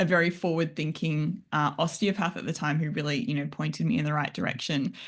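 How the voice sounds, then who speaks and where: The speaker talks with an Australian accent over a quiet background. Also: woman. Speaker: functional nutritionist. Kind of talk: interview.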